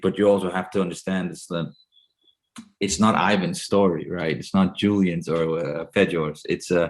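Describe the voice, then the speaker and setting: A man speaks with a very deep, low pitch and a Danish accent. His pace is moderate and his intonation fairly even. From Denmark. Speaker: actor. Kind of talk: interview. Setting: video call. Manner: halting.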